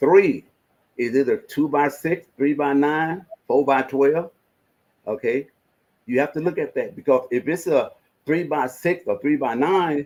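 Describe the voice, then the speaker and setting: A man with a Mississippi accent speaks in a fairly high pitch, leaving long, frequent pauses. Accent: Southern US, Mississippi. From US South. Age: 70s. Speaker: investment advisor. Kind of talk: casual advice talk. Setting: live stream. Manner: animated.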